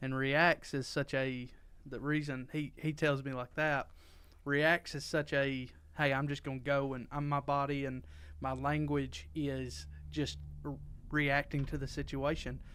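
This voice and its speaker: A man speaks loudly and fairly slowly in a monotone, flat way. The recording is very clean, with a silent background. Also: fairly high pitch for a man. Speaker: podcast co-host. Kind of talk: casual chat.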